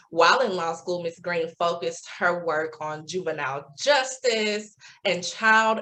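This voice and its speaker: An energetic, bright, sharp voice with a Southern US accent, fairly slow in pace and ordinary in pitch variation. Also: woman. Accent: Southern twang. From US South, Memphis, Tennessee. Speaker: club officer and session host. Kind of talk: event introduction.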